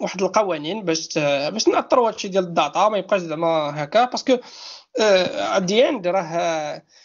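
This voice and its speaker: Pitched high, a man talks at a moderate pace with lively intonation. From Morocco, Souk El Arbaa. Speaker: data protection manager. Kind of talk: casual interview.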